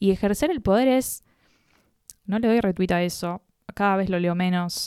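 A woman's unremarkable speaking voice at medium pitch, with ordinary pitch variation and a fairly slow pace, on a very clean recording with a silent background. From Buenos Aires, Argentina. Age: 20s. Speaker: content creator. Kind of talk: casual chat.

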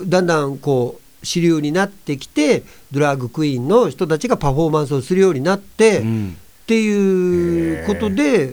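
At a moderate pace, a man with a normal speaking voice, fairly high in pitch, talks with lively intonation. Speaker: entertainer, actor and rakugo performer. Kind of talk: casual chat.

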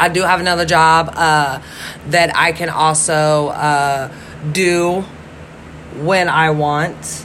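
Amid noticeable background noise and audible room echo, a woman with a very deep, low pitch speaks at a very slow pace in a monotone, flat intonation with long, frequent pauses. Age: 30s. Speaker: podcaster. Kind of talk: casual monologue.

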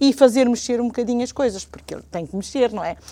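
This woman has a high pitch and ordinary pitch variation. Her tone is dark and mellow. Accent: European Portuguese. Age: 60s. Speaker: retired teacher and civic association member. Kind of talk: TV/radio talk show interview.

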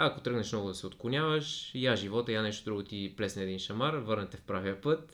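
The speaker has a plain, everyday voice with ordinary pitch variation. The pace is fairly quick, with hardly any pauses. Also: man, fairly low pitch for a man. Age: 30s. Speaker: podcast guest. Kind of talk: casual chat.

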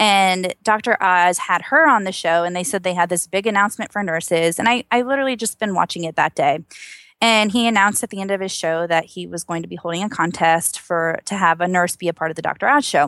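A woman with a Georgia accent at a very fast pace and medium pitch with ordinary variation, on a very clean recording with a silent background and a dry, close sound with no echo. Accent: Georgia Southern US. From US South, Georgia. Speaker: registered nurse and singer. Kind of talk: casual interview chat. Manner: positive, joyful, chatty.

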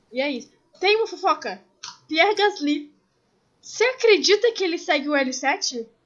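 A woman's extremely high voice at a moderate pace, with very wide pitch swings and long, frequent pauses. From Brazil, Rio de Janeiro. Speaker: podcast co-host. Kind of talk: casual chat. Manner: animated.

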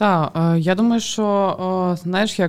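In a very clean recording with a silent background, a woman with a normal speaking voice talks at a fairly low pitch with fairly even intonation. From Ukraine. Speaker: podcast co-host. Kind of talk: casual chat.

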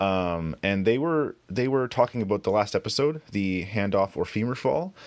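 A man with a plain, everyday voice, fairly low in pitch, at a moderate pace with lively intonation. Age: 30s. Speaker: podcast co-host. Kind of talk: casual chat.

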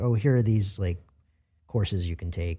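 Speaking with an American accent, a man has a dark, mellow, somewhat breathy tone. His intonation is lively and his pace moderate. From US Mid-Atlantic (Maryland/Virginia/DC). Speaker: character actor. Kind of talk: interview.

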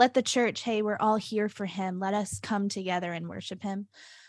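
On a very clean recording with a silent background and a dry, close sound with no echo, a woman uses a normal speaking voice at a medium pitch with ordinary pitch variation. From US South, Nashville, Tennessee. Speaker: church worship leader and singer. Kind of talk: casual chat.

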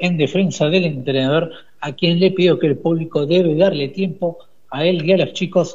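The man's high pitch holds fairly even intonation. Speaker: sports reporter. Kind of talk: radio sports news reading.

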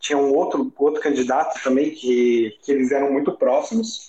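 At a fairly slow pace, a man speaks. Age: 30s. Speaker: political marketing professional. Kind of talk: casual political discussion.

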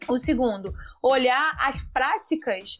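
Lively intonation in a high-pitched female voice. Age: 20s. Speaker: municipal election candidate. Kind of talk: interview.

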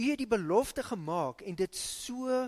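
The speaker talks at a very slow pace with a South African accent. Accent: South African English, Afrikaans-accented. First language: Afrikaans. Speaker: pastor. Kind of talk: sermon and fervent prayer in church. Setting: church. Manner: fervent, earnest, pleading.

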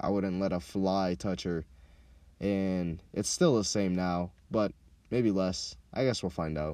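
A man speaks at a fairly slow pace in a dark, mellow tone. The recording is very clean with a silent background. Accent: American. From Minneapolis, Minnesota (also childhood in Kenya). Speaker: podcast host. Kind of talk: casual monologue. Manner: animated.

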